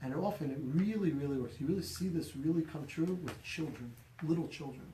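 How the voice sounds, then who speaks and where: A man speaks at a fairly quick pace with ordinary pitch variation. His tone is dark and mellow, with audible room echo. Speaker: rabbi teaching a class. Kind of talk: lecture. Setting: small room, live-streamed class. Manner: loud.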